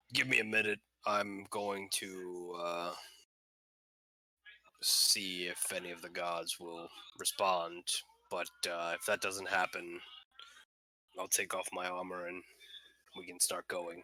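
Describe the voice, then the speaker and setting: Putting on a character voice that is raspy and very deep in pitch, a man talks at a fairly slow pace with long, frequent pauses. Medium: actual play. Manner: hesitant, halting, with many fillers.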